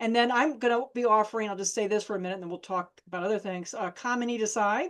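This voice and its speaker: A woman's fairly high voice, very fast, with ordinary pitch variation. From Ohio, Toledo. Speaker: therapist. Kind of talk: interview conversation. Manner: intense.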